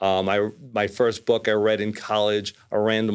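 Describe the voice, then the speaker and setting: With a New York accent, a man speaks fairly slowly at a fairly low pitch in a monotone, flat intonation, recorded very cleanly against a silent background. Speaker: mortgage lender. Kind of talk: casual chat.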